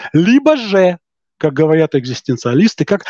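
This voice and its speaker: The speech moves at a moderate pace. The sound is dry and close with no echo, over a quiet background. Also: man. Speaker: podcast guest, self-styled philosophical humorist. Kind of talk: philosophical discussion. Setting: video call.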